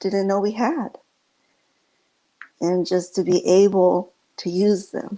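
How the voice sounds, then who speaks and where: Soft-spoken and very slow, a woman talks at medium pitch. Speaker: inspirational speaker. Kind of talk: inspirational talk.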